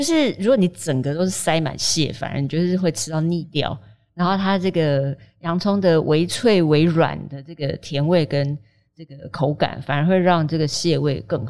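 A woman at a fairly low pitch and moderate pace, a normal speaking voice, ordinary pitch variation and big swings in loudness. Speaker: food writer. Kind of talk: casual chat.

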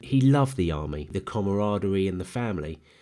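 A man's fairly low-pitched voice with a London accent and a dark, mellow tone, at a fairly quick pace, on a very clean recording with a silent background. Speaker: podcast host and accountant. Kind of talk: solo monologue podcast.

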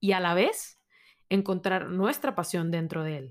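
This woman has an unremarkable speaking voice at a medium pitch, talking at a moderate pace on a very clean recording with a silent background. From Monterrey, Mexico. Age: 20s. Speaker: podcast host, university student. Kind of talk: solo podcast monologue. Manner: casual, conversational.

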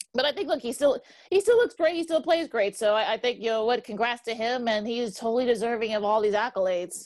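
In an American accent, a woman speaks at a very fast pace with lively intonation against a quiet background. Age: 40s. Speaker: sports podcast co-host. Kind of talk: casual sports talk. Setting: video call.

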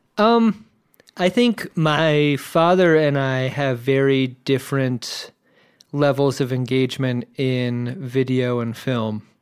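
In an American accent, a man talks at a very slow pace with a medium pitch. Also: ordinary pitch variation, very clean recording, silent background. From Virginia Beach, US. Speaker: podcast host, guest. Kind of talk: casual chat.

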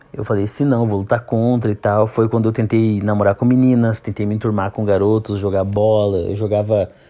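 Over music in the background, a man talks in a fairly low, flat monotone. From Santa Catarina, southern Brazil. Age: 30s. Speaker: podcaster. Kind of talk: personal monologue podcast.

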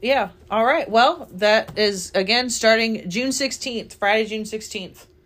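A woman with a normal speaking voice talks at a fairly high pitch with ordinary pitch variation and hardly any pauses. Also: fairly slow pace. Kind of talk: casual chat.

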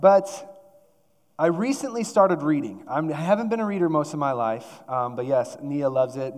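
Amid audible room echo, a man talks with lively intonation at a fairly high pitch. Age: 30s. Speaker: church staff preacher. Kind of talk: sermon. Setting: church.

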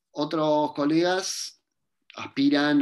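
A man talks against a quiet background. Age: 20s. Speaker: philosophy professor. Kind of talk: interview.

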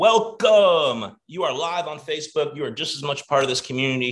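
The tone is animated. It is also bright and sharp. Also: man. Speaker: online coaching community host. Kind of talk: live webinar hosting. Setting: video call. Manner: loud.

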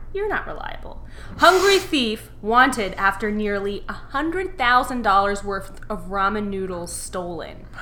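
The woman's very slow pace comes with noticeable background noise. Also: big swings in loudness. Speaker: podcast co-host. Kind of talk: casual chat.

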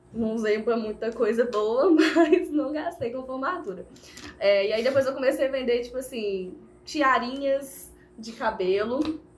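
At a fairly slow pace, a high-pitched woman talks with lively intonation. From Brazil, Viçosa (Minas Gerais). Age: 20s. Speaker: makeup artist and small business owner. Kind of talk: casual interview.

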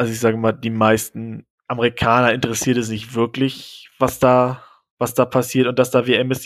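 The man's voice sits at a medium pitch with monotone, flat intonation. He talks at a moderate pace. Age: 20s. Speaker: exchange participant, trained zookeeper. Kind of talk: casual chat.

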